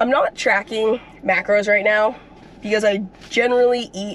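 Against light background noise, a woman speaks fairly slowly in a dry recording with no echo. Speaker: athlete vlogger. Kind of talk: casual vlog chat. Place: car. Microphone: phone near.

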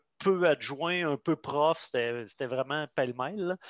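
Against a quiet background, a man with a fairly high pitch speaks very slowly in a dry sound with no echo. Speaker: pedagogical advisor. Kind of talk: online group discussion. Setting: video call. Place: home room. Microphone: headset.

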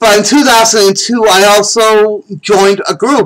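Over a quiet background, a man with an American accent talks at a fairly slow pace. His voice is high-pitched, with a bright, sharp tone. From Massachusetts. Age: 40s. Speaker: self-storyteller. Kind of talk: personal life story told to camera. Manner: casual, repetitive. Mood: reflective, candid. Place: home room. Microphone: webcam.

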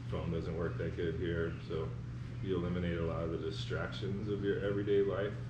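A man talks at a fairly quick pace. Background noise is noticeable. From North Carolina. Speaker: artist blacksmith and foundry artist. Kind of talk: interview answer. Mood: relaxed, reflective. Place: workshop.

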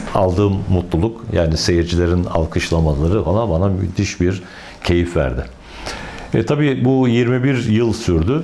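Against light background noise, a man with a very deep, low pitch talks at a fairly slow pace with lively intonation and very even loudness. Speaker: retired opera singer, painter and former opera director; interviewee. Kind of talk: interview. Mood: warm, reflective. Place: workshop. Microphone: lapel.

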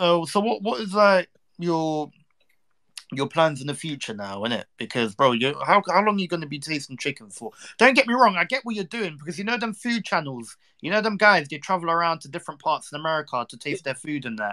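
A man talks at a fairly quick pace in a high pitch, with very wide pitch swings. His tone is bright and sharp, and his loudness swings a lot. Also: dry, close sound with no echo. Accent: London. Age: 20s. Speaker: streamer. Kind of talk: casual chat. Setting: online live stream.

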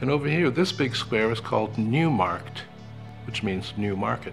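Music plays in the background as a man speaks at a moderate pace. His voice is fairly low, with lively intonation. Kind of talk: travel guide narration.

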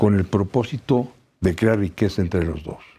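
This voice belongs to a man. It sits fairly low and carries a dark, mellow tone. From Mexico. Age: 70s. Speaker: labor law expert; law professor guest. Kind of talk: TV interview. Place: studio. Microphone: lapel.

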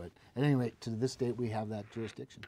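Speaking with an Upper Midwest accent, a man at medium pitch talks at a fairly quick pace. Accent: Upper Midwest American. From North Dakota, Cass County; North Dakota. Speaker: state utility regulator and politician; politician. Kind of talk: interview. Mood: calm, measured, explanatory. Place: studio.

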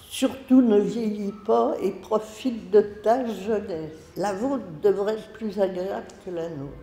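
Speaking very slowly with hardly any pauses, a woman shows ordinary pitch variation and big swings in loudness as the room echo comes through. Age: 80s+. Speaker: retired elder, letter writer. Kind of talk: reading aloud. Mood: tender, reflective about aging. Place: classroom.

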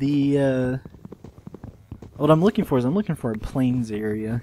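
With noticeable background noise behind him, a man speaks at a moderate pace and medium pitch. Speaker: gaming video creator. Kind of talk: casual gameplay commentary. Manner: monotone.

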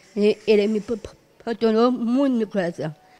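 Faint music plays in the background. A woman is speaking. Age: 30s. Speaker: special school student with Down syndrome; interviewee. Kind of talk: interview. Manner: halting. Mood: earnest, a bit sad. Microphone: handheld.

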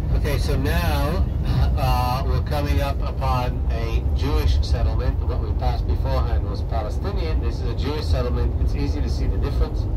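Fairly quick speech comes through loud background noise. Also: man. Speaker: tour guide. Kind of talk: tour guide commentary. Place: bus. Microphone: camera far.

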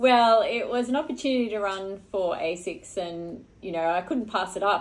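The speaker is a woman with an Australian accent. She keeps a moderate pace. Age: 40s. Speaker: Olympic marathon runner; guest. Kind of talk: casual interview. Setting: hotel room. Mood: relaxed, reflective. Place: home room. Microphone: studio mic.

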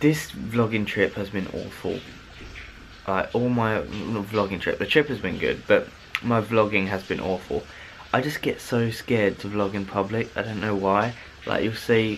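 The speech moves at a moderate pace with fairly even intonation over light background noise. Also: man. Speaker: vlogger. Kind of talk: casual vlog chat. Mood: happy, then self-critical. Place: home room. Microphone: phone near.

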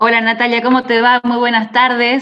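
A woman speaks at a moderate pace in a Rioplatense accent. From Argentina. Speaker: radio journalist. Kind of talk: interview. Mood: warm, friendly. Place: home room. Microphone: video call.

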